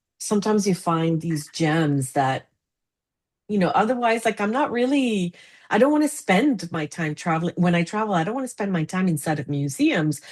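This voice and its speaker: Delivery proceeds at a middling tempo. Intonation leaps across a very broad range against a quiet backdrop. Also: woman, medium pitch for a woman. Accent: Spanish. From Argentina. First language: Spanish. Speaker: international fundraising consultant. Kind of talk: casual chat. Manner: animated.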